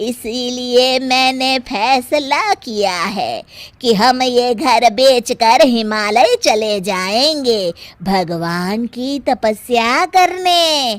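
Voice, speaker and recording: A woman's cartoonish character voice, high-pitched, with lively intonation and a very slow pace. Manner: scolding, sharp.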